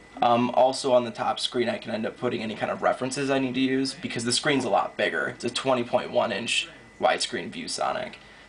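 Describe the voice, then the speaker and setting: A man rattles off his words very rapidly while noticeable noise fills the background. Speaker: digital artist. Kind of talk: casual tutorial narration. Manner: quiet.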